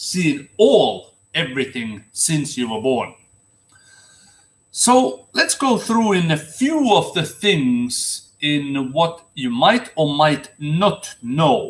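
A man talks at a very slow pace, his pitch swinging very widely. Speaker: former seaman vlogger. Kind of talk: casual vlog commentary. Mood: earnest, critical. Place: home room. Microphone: webcam.

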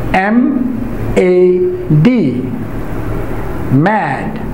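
Noticeable background noise sits behind the speaker. A man talks with very wide pitch swings. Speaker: English language teacher. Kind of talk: pronunciation lesson to camera. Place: classroom.

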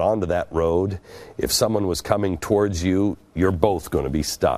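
The man's delivery moves along at a moderate pace. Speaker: TV show host. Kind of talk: storytelling monologue. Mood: earnest, reflective storytelling. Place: studio. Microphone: lapel.

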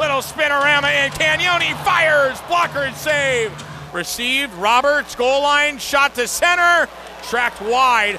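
Over noticeable background noise, a man talks at a fairly slow pace in a raised, projected voice with extremely high pitch. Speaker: hockey play-by-play announcer. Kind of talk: live sports commentary, play-by-play of a hockey game. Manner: animated, rising excitement on goals.

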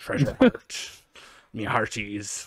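At a medium pitch, a man talks in a put-on character voice. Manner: hearty, playful.

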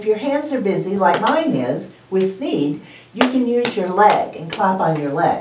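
Reading done in a natural voice

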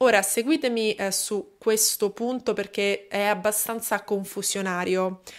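A woman with a medium pitch speaks in a serious tone. She goes at a fairly slow pace over a quiet background. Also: fairly even intonation. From Italy. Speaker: true crime YouTuber. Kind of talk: true-crime narration, solo monologue to camera. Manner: measured, steady storytelling pace, serious. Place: home room. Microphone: studio mic.

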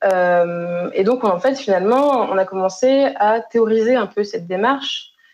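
A woman speaks in an ordinary speaking voice at a fairly high pitch and fairly slow pace, with hardly any pauses, ordinary pitch variation and very even loudness. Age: 20s. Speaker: health innovation consultant; keynote speaker. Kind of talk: conference keynote talk. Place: home room. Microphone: webcam.

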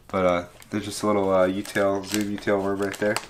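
Noticeable background noise sits behind a man's fairly low voice. He talks at a fairly quick pace with monotone, flat intonation. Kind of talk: casual show-and-tell commentary. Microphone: camera far.

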